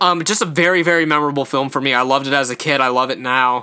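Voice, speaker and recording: This man talks at a very fast pace with a bright, sharp tone. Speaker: podcast host. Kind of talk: solo podcast review monologue. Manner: stumbles over words often; casual, filler-heavy.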